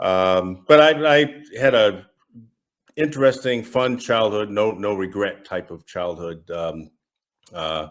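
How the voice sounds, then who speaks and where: Speaking very slowly in a Massachusetts accent, a man with a fairly low pitch uses lively intonation. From US Northeast, Massachusetts. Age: 60s. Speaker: retired federal agent, estranged father. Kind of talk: interview testimony. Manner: halting, many fillers.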